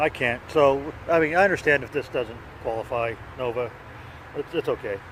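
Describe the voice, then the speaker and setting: With noticeable background noise, a man speaks in a fairly high pitch with ordinary pitch variation and long, frequent pauses. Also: moderate pace. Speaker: pipe-smoking video blogger. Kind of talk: casual vlog monologue. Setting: outdoors on a park bike trail. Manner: halting, with many fillers and repeats.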